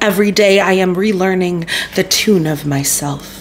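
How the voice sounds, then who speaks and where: A woman talks at a fairly slow pace. Her pitch is fairly low, with light background noise. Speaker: poetry podcast host. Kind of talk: poem reading, soft and earnest, after casual chatty intro. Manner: animated; chatty, laughing, self-interrupting. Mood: calm, warm, gentle. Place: home room.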